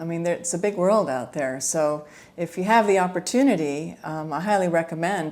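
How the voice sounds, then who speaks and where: This woman's voice sits fairly low. Her pitch varies in an ordinary way. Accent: American. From USA. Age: 60s. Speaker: retired language student. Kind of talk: podcast interview. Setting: podcast recording. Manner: hesitant, filler-heavy.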